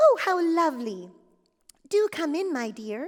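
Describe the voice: Putting on a squeaky character voice, a woman speaks at a moderate pace with extremely high pitch.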